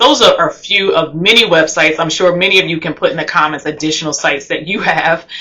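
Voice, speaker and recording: Speaking at a fairly quick pace, a woman with a New Jersey accent has a fairly low pitch. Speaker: travel vlogger. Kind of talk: tutorial. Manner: fast.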